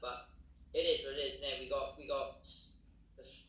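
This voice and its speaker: A man talks with a Welsh accent. Audible room echo is present. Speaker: professional boxer. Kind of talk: interview.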